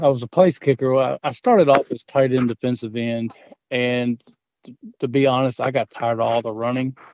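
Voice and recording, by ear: At a fairly quick pace, a man speaks at a medium pitch with fairly even intonation and big swings in loudness. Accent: Southern US.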